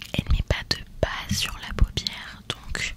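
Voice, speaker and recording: Loud background noise sits under a woman's voice. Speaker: makeup content creator. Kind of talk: soft casual tutorial chat. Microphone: studio mic.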